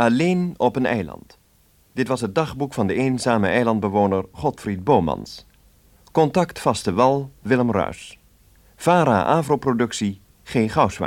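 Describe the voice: This man speaks at a fairly slow pace. His medium pitch rises and falls in big swings.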